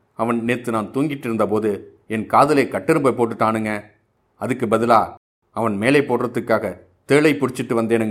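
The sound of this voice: Pitch variation here is ordinary. It is an unforced reading voice, and the background is quiet.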